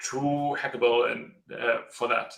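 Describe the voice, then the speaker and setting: A man speaks in a German accent at a fairly slow pace. His intonation is monotone and flat. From Germany. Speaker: tech startup co-founder. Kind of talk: live video interview. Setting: video call. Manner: halting.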